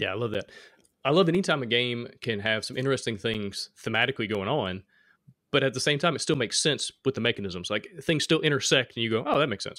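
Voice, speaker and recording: A man with an Alabama accent talks at a very fast pace, his medium pitch carried by lively intonation. The tone is bright and sharp, and the sound is dry and close with no echo. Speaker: board game design podcast host. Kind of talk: casual chat.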